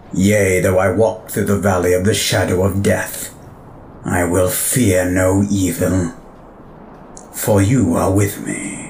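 A man in a put-on character voice, very deep and low, fairly slow with long, frequent pauses, against clear background noise. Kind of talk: audio drama acting. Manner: wry, theatrical, self-satisfied.

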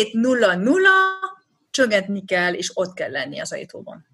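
A woman is speaking. She has a French accent. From France, Rennes. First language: French (speaking Hungarian). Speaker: expat mother. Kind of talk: interview. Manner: halting.

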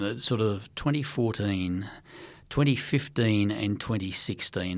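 This man talks at a fairly low pitch. His speech carries an Australian accent. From Western Australia, Perth. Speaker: former intelligence chief. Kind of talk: interview. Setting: studio.

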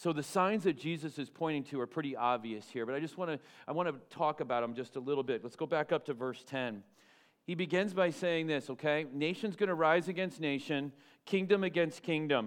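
Against a quiet background, a man speaks fairly quickly with a normal speaking voice. His pitch is fairly high, with ordinary pitch variation. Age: 50s. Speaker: pastor. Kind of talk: sermon. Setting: church.

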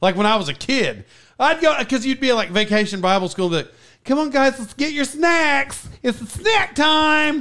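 A man with an American accent in a raised, projected voice, extremely high-pitched with very wide pitch swings, at a moderate pace, in a very clean recording with a silent background. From Oklahoma, US. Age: 40s. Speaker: podcast host. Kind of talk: casual chat.

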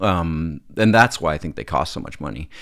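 Lively intonation carries this western Canadian accent. The recording is very clean, with a silent background. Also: man. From Alberta, Calgary. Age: 50s. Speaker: film and TV director. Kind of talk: casual chat.

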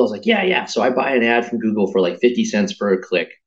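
A medium-pitched man talking very fast with lively intonation. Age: 40s. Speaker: tech entrepreneur. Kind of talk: interview conversation.

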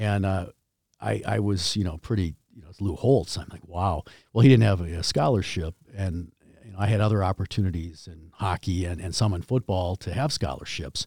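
A man with a very deep, low pitch and a somewhat breathy voice speaks at a moderate pace with ordinary pitch variation and big swings in loudness, recorded dry and close with no echo against a silent background on a very clean recording. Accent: American. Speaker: hockey jersey manufacturer, company founder. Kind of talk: casual interview chat. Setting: studio.

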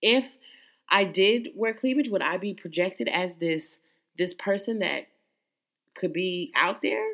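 Fairly slow pace with lively intonation and long, frequent pauses, in a very clean recording with a silent background. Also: woman, medium pitch for a woman. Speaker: podcast host. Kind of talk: solo motivational monologue. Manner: loud.

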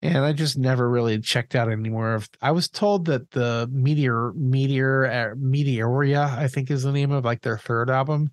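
A man's unremarkable speaking voice at medium pitch and moderate pace, with fairly even intonation, very even loudness and hardly any pauses. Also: very clean recording, silent background. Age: 40s. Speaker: podcast co-host. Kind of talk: casual chat.

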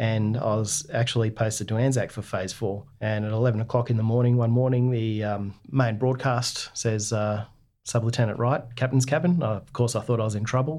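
Over a quiet background, a man with an Australian accent talks at medium pitch and a moderate pace, his intonation fairly even and hardly any pauses between words. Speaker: navy veteran. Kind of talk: interview.

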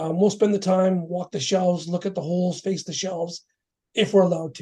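Fairly quick speech with a Canadian accent. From Surrey, British Columbia, Canada. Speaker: food distribution business owner. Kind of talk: interview.

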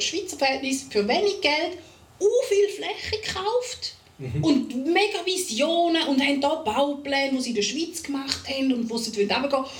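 Speaking at a moderate pace with a Swiss accent, the voice makes very wide pitch swings amid audible room echo and noticeable background noise. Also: woman. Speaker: podcast co-host. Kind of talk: casual chat. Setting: studio recording with cameras.

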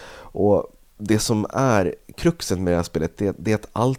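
A man with a fairly low voice and a dark, mellow tone speaks at a fairly slow pace with lively intonation. The sound is dry and close with no echo, on a very clean recording with a silent background. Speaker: video game podcast co-host. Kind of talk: casual chat. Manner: yawning.

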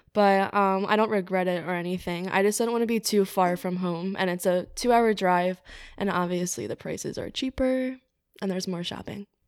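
A woman in an American accent, an ordinary speaking voice at medium pitch, fairly even intonation and a moderate pace, on a very clean recording with a silent background. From New Jersey, Cape May. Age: 20s. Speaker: interior design worker. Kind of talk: casual chat.

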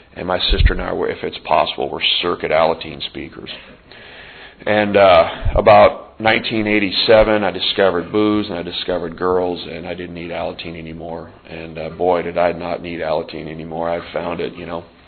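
There is noticeable background noise as a man with a very deep, low pitch and an American accent speaks at a moderate pace, with fairly even intonation and big swings in loudness. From Montana. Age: 40s. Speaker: support group leader. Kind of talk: recovery meeting share. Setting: meeting room with audience and microphone.

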